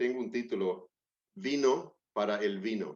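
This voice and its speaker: This man talks at a very slow pace, showing ordinary pitch variation. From Australia. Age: 60s. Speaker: preacher. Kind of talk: sermon. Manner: halting.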